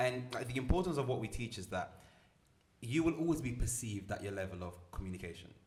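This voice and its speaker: Lively intonation runs at a very fast pace over noticeable background noise. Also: man, medium pitch for a man. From Milan, Italy. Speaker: motivational speaker and entrepreneur. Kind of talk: podcast interview. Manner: confident, articulate.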